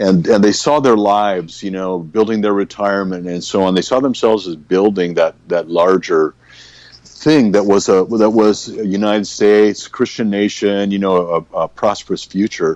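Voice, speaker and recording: Speaking at a moderate pace, the man has a normal speaking voice that sits fairly low in pitch, with fairly even intonation. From California. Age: 60s. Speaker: pastor. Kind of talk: casual chat.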